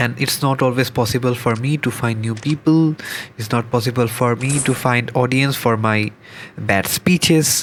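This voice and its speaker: A man with a Bengali accent at a medium pitch, fairly even intonation and moderate pace, amid noticeable background noise. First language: Bangla. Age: 20s. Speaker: gaming vlogger. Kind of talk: unscripted gameplay commentary. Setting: home recording with microphone. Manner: halting.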